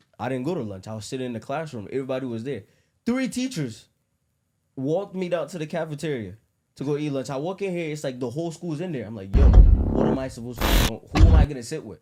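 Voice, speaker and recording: Over music in the background, a man with a fairly high pitch talks at a very fast pace in an animated tone, his intonation lively and his loudness swinging widely. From Africa. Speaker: podcast co-host. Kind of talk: casual chat.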